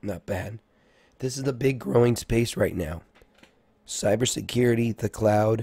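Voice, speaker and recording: Speaking at a fairly slow pace with long, frequent pauses, a man sounds somewhat breathy in a dry, close recording with no echo. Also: medium pitch for a man, ordinary pitch variation. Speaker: stock market streamer. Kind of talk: live market analysis stream. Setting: live stream.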